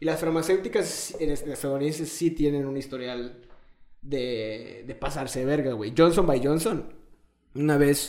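In a Mexican accent, a man with a fairly high pitch and ordinary pitch variation speaks at a moderate pace amid audible room echo. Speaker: podcast host. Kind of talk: casual chat.

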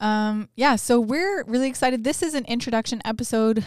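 A woman with a Canadian accent has an ordinary speaking voice, delivered at a moderate pace with ordinary pitch variation. The recording is very clean, with a silent background. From Northern Ontario, Canada. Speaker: podcast co-host. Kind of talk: casual chat.

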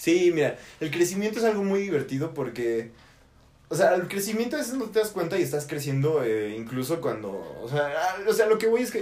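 Here a man speaks at a high pitch with very wide pitch swings. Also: fairly quick pace. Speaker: podcast host. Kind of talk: casual chat. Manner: fast, sometimes stutters.

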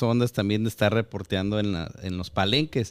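At a very fast pace, a man speaks with ordinary pitch variation on a very clean recording with a silent background. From Guadalajara, Mexico. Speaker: podcast host. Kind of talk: casual interview.

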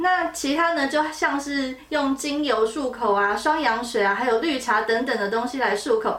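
A woman's high voice with ordinary pitch variation, at a moderate pace with hardly any pauses, over noticeable background noise. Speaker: dermatologist. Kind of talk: educational podcast chat.

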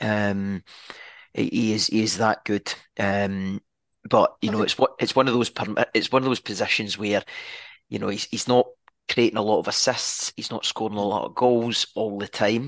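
In a Scottish accent, a man with a fairly low pitch talks at a moderate pace in a flat monotone, with long, frequent pauses, over a quiet background and a dry, close sound with no echo. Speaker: football podcast co-host. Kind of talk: casual chat. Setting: video call. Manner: halting.

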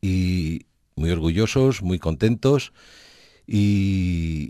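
Against a quiet background, a man speaks with a very deep, low pitch and a dark, mellow tone, his intonation lively and the sound dry and close with no echo. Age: 60s. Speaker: winery owner. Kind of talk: interview.

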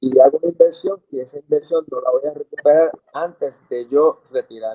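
The man talks at a moderate rate, and the sound is dry and close with no echo. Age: 60s. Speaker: dentist. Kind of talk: interview.

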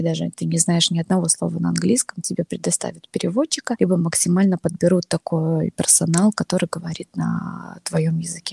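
Her speech comes at a moderate speed. The woman is heard in a dry, close sound without echo. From Belarus, Novopolotsk. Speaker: new mother. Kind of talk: casual interview.

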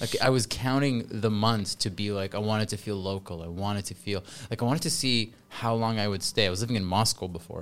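Speaking with a Canadian accent in a plain, everyday voice, a man talks at a fairly quick pace with hardly any pauses, fairly low pitch and ordinary pitch variation. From Canada. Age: 40s. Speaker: English teacher. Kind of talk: casual chat. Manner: loud.

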